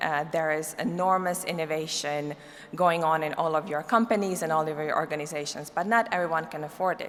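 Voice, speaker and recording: A woman with a non-native accent talks at a fairly quick pace and fairly low pitch, with ordinary pitch variation. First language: not English. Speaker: cybersecurity policy expert, keynote speaker. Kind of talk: conference keynote.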